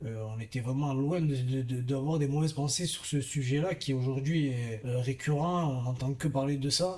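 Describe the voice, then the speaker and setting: A man's dark, mellow tone comes at a fairly high pitch, somewhat breathy, with fairly even intonation and a moderate pace. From southern France, Gard (Vauvert). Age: 30s. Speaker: professional boxer. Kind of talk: interview testimony. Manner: halting, many fillers.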